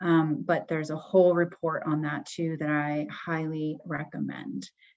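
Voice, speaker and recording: Against a quiet background, a woman with an ordinary speaking voice keeps a fairly low pitch and fairly even intonation. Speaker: webinar moderator. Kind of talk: closing remarks of a webinar.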